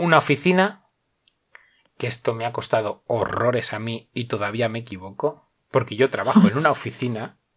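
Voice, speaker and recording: Somewhat breathy and at a medium pitch, a man talks at a fairly quick pace with lively intonation and long, frequent pauses. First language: Spanish (speaking Italian). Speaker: language teacher. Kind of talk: casual chat.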